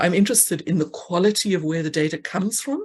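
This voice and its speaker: A woman speaks in a fairly low pitch. The background is quiet. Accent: South African. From South Africa. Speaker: actuary, conference speaker. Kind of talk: conference Q&A answer. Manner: halting.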